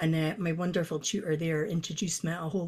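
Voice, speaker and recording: This woman's somewhat breathy voice sits at a fairly low pitch. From Scotland, northeast (Doric-speaking). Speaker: poet. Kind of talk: casual interview chat. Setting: video call.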